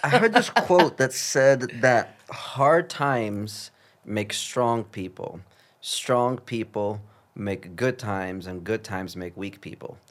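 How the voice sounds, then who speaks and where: The man's pitch is medium, and he speaks very slowly with lively intonation and big swings in loudness. The recording is very clean with a silent background. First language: not English. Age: 30s. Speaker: podcast host and director. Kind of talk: casual interview conversation. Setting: studio with microphones.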